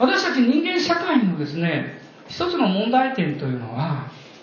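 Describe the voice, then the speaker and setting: The speech comes at a fairly slow pace. Noticeable background noise runs underneath. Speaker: guest pastor. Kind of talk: sermon. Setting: church.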